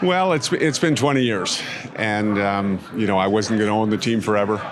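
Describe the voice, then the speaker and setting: Fairly quick male speech, noticeable background noise and audible room echo around it. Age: 60s. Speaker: outgoing owner of a junior hockey team. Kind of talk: press interview.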